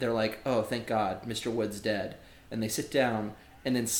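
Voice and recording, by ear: Here, a natural voice reads the text aloud.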